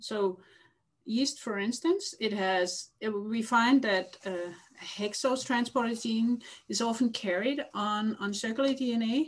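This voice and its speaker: Against a quiet background, a woman speaks at a very slow pace with a fairly high pitch. Her voice is somewhat breathy, with ordinary pitch variation. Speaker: lab head and geneticist. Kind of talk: interview. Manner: halting.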